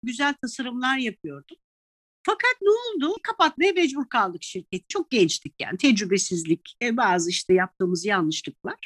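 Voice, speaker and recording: In a dry, close recording with no echo, a woman with a high pitch speaks with very wide pitch swings. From Italy (raised from early childhood, Turkish mother). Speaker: tour guide and sommelier. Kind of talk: interview conversation. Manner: animated, laughs often.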